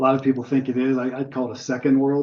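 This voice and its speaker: Using a plain, everyday voice, a man speaks at a medium pitch and a fairly quick pace. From US, Pittsburgh area. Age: 60s. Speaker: birder giving a club talk. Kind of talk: slideshow talk with Q&A. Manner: casual, filler-heavy.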